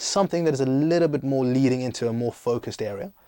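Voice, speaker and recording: A man's medium-pitched voice with a dark, mellow tone and ordinary pitch variation. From South Africa and Greece. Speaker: startup founder and CEO, former banker. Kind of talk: podcast interview. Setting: studio. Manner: energetic.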